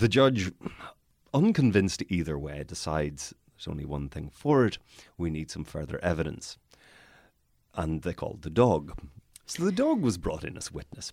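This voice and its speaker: A man with a Northern Irish accent and a very deep, low pitch, at a moderate pace with long, frequent pauses and big swings in loudness. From Northern Ireland. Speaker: barrister and podcast host. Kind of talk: casual interview chat. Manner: wry, humorous, hesitant with many fillers.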